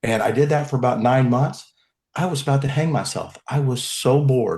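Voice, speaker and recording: Somewhat breathy and fairly high in pitch, a man talks at a fairly quick pace with fairly even intonation in a Texan accent. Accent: Texan American English. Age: 60s. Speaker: criminal defence lawyer. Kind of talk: podcast interview.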